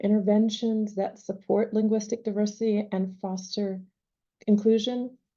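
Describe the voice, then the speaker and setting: A woman's fairly high voice, somewhat breathy, with a dark, mellow tone. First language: not English. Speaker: panel moderator. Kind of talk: panel discussion.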